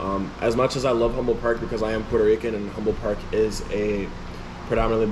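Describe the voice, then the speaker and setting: A man with a fairly low pitch talks at a very fast pace in monotone, flat intonation. Noticeable background noise and audible room echo come through. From Chicago, Illinois. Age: 20s. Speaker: rapper. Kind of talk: interview. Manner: casual, filler-heavy.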